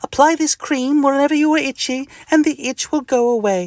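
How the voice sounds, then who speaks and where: A man speaks at a fairly quick pace in a put-on character voice with an extremely high pitch. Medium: read story. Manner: calm, dry.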